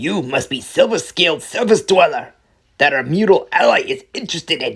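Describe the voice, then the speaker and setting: In a very clean recording with a silent background, a man performs a high-pitched put-on character voice. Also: moderate pace. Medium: read story. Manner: sneering, scornful.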